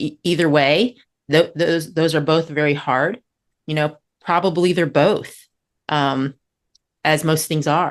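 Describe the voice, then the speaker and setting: A woman with a very deep, low pitch speaks with fairly even intonation and long, frequent pauses. The background is quiet. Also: fairly slow pace. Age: 60s. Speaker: podcast co-host. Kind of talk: casual conversation. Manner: halting, with fillers.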